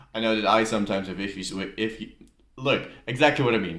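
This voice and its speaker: A slight Dutch accent with audible room echo. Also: man. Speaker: YouTuber, music reactor. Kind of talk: casual reaction video commentary. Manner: casual, hesitant with fillers.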